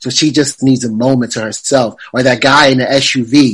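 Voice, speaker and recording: At a moderate pace, a plain, everyday voice talks with fairly even intonation. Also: man. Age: 40s. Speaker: movie reviewer and podcaster. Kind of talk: interview.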